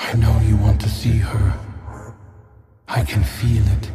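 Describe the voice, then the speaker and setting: Using a put-on character voice at a fairly low pitch, a man speaks at a fairly slow pace with a clear echo and faint music in the background. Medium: short film. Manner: insinuating, mocking.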